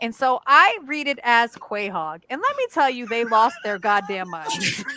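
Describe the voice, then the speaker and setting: At a fairly slow pace, the speaker uses an animated tone and very wide pitch swings in an American accent, over noticeable background noise. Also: woman, fairly high pitch for a woman. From Connecticut. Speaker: podcast co-host. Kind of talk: casual chat. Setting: live stream. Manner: over-enunciates.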